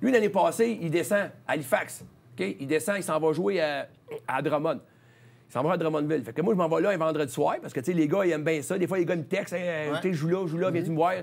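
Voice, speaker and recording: This man talks at a very fast pace with a high pitch and ordinary pitch variation. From Quebec, Charlemagne. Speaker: hockey coach, former player. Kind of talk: interview. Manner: halting. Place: studio. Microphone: lapel.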